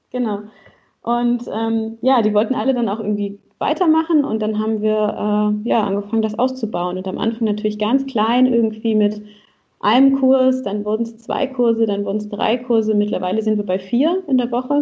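Somewhat breathy and with a dark, mellow tone, a woman with a fairly high pitch speaks at a moderate pace with ordinary pitch variation. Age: 30s. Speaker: relationship coach and salsa teacher. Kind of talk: podcast interview.

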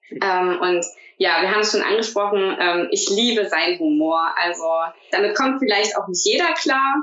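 A woman with a medium pitch talks at a moderate pace with lively intonation over noticeable background noise. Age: 30s. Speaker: teacher. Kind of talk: casual interview.

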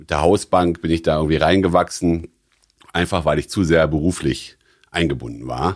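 At a moderate pace, a man with a very deep, low pitch and vocal fry speaks with ordinary pitch variation. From Rhineland, Germany (born in Stuttgart). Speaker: financial entrepreneur. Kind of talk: interview. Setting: jazz club. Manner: hesitant with fillers.

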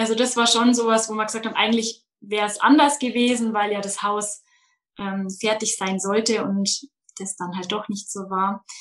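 With an unremarkable speaking voice, a woman talks in a fairly high pitch, her intonation fairly even. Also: moderate pace. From Bavaria, Munich outskirts. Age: 20s. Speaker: daycare centre manager. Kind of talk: interview.

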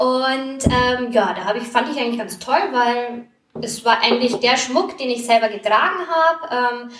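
A high-pitched woman at a moderate pace over noticeable background noise. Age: 30s. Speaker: primary school teacher and network marketer. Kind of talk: interview. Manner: passionate.

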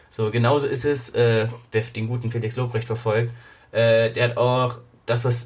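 Somewhat breathy, a man speaks at a medium pitch. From Germany. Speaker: podcast host. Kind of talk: casual chat. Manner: animated.

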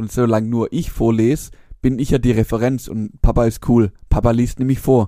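A man with a strong Swabian accent, medium pitch, dark and mellow tone, flat monotone intonation and moderate pace. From Swabia, Germany. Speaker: podcast co-host. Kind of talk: casual chat.

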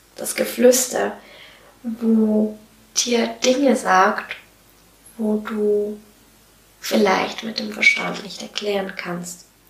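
Noticeable background noise sits behind a woman speaking at a very slow pace, with long, frequent pauses. Her loudness swings widely. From Switzerland. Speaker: podcast host, self-employed coach. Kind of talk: solo podcast monologue. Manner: animated.

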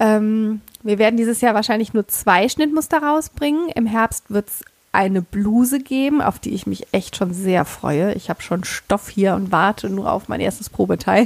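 In a plain, everyday voice, the speaker uses lively intonation at a moderate pace, with big swings in loudness and a dry, close sound with no echo. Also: woman, fairly high pitch for a woman. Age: 30s. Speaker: sewing blogger and pattern designer. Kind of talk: casual chat.

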